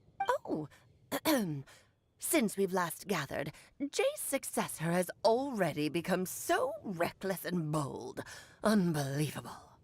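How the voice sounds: In a put-on character voice, a woman speaks at a fairly slow pace and medium pitch, leaving long, frequent pauses.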